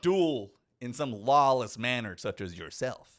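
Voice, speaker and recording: A man puts on a character voice at a medium pitch. The recording is very clean, with a silent background. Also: fairly slow pace. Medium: actual play. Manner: prim, superior.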